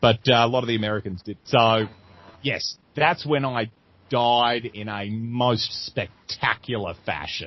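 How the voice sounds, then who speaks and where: Speaking at a fairly slow pace, a man with an Australian accent uses a medium pitch and ordinary pitch variation. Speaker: comedian. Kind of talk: interview. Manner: animated.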